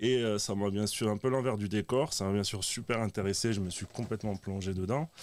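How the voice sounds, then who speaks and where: A plain, everyday voice at a fairly quick pace, with fairly even intonation, on a very clean recording with a silent background. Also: man, fairly low pitch for a man. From southern France, Dutch-born. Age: 30s. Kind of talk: testimony.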